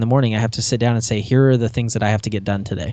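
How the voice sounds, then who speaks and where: A man talks at a very fast pace. His medium-pitched voice keeps a fairly even intonation. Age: 30s. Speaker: self-employed contractor and podcaster. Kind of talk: interview. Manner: halting.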